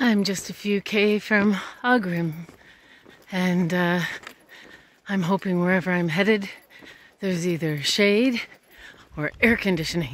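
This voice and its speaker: Dry with no echo, a woman speaks in a fairly low pitch with ordinary pitch variation. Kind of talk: casual vlog chat.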